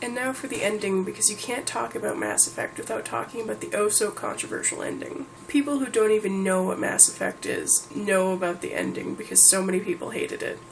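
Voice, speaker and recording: Amid noticeable background noise, a woman speaks at a very fast pace. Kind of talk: casual talk to camera.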